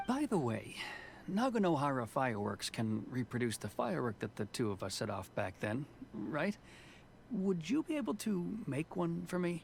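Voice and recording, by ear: A man's put-on character voice, fairly high in pitch and slightly mellow in tone, with very wide pitch swings, vocal fry and a moderate pace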